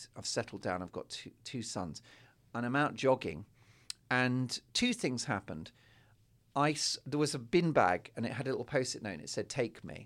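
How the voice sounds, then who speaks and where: Medium-pitched male voice with vocal fry and lively intonation at a moderate pace, over a silent background in a very clean recording. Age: 40s. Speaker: guest on comedy podcast. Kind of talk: casual chat.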